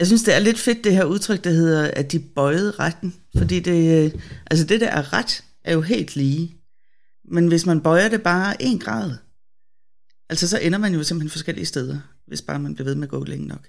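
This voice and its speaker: Lively intonation at a moderate pace, broken by long, frequent pauses. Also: woman, fairly low pitch for a woman. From Denmark, Bornholm. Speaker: theologian and web editor. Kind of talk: casual Bible discussion. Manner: hesitant, many fillers.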